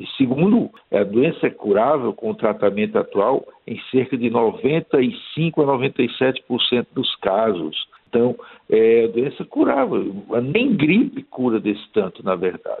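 Very slowly and at a medium pitch, a man speaks with very wide pitch swings. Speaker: dermatologist. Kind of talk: radio interview.

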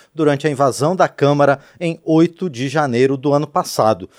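A plain, everyday voice at a moderate pace, on a very clean recording with a silent background. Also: man. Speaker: radio and TV host. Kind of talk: interview. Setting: studio.

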